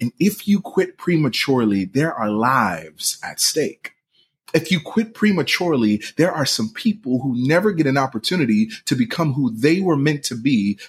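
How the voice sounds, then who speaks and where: A man's somewhat breathy voice at a fairly high pitch, with very wide pitch swings and a moderate pace. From Philadelphia, US. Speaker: podcast host and pastor. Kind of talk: motivational monologue.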